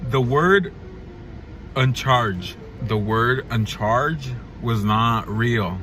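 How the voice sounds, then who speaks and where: Over noticeable background noise and audible room echo, a man with a medium pitch talks at a very slow pace, his intonation lively and his pauses long and frequent. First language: Spanish. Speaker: vlogger. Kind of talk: casual vlog monologue. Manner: halting.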